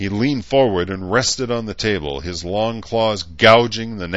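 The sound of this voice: Pitch varies in an ordinary way through this unforced reading voice.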